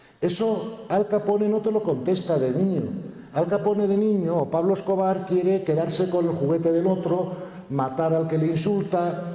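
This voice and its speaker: Heard at a moderate pace, the speech has very even loudness, with audible room echo and noticeable background noise. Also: man, high pitch for a man, ordinary pitch variation. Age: 60s. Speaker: conference speaker. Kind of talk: conference Q&A answer. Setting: stage with audience.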